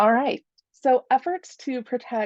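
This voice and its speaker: A woman's voice swings very widely in pitch and carries vocal fry. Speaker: attorney. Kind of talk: talk presentation with slides.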